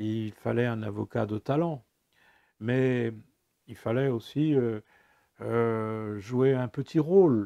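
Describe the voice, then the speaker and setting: Against a quiet background, a man with a dark, mellow tone and medium pitch speaks at a very slow pace with ordinary pitch variation. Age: 70s. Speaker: former prisoner telling his story. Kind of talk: personal testimony. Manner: halting, many hesitations.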